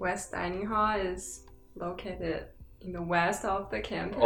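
A woman speaks at a fairly slow pace in a calm tone, with music playing in the background. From Beijing, China; born in Shanxi. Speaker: podcast guest, university student. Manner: calm, hesitant.

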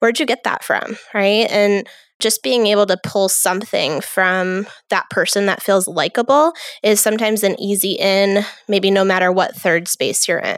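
On a very clean recording with a silent background, a woman with a normal speaking voice talks at medium pitch and a moderate pace, with ordinary pitch variation and very even loudness. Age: 30s. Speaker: therapist and podcast host. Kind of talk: casual chat.

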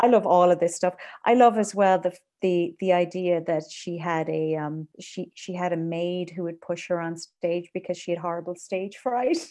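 In a western Irish accent, a woman with a fairly low pitch and a dark, mellow tone speaks at a moderate pace with fairly even intonation over a quiet background. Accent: Irish (west of Ireland). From Ireland, Galway countryside. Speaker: composer and conductor. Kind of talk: interview conversation. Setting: video call.

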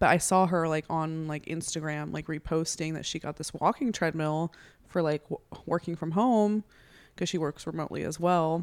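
This woman has an unremarkable speaking voice, fairly low in pitch with ordinary pitch variation. She talks at a fairly quick pace on a very clean recording with a silent background. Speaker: podcast guest, host's older sister. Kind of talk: casual chat. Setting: podcast recording.

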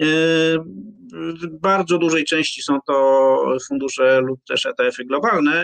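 Speaking at a very slow pace, a man uses a fairly high pitch and ordinary pitch variation. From Poland, Poznań. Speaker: finance blogger and former journalist. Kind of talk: interview. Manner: halting, with repetitions.

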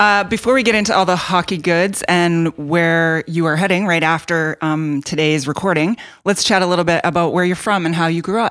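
With a western Canadian accent, a woman speaks at a fairly quick pace with hardly any pauses, a fairly low pitch, fairly even intonation and very even loudness, on a very clean recording with a silent background. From Canada, Edmonton. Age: 40s. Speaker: podcast co-host, hockey wife. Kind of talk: casual podcast chat.

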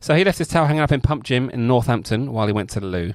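A man speaks at medium pitch with lively intonation. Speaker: podcast host. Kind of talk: casual banter, podcast chat.

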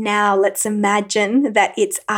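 Calm and warm in tone, a woman speaks very slowly at a fairly high pitch. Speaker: podcast host. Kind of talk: solo motivational talk with a guided visualization segment. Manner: slow, calm, coaxing pace in the visualization, with pauses and repeated phrases; warm, encouraging, conversational.

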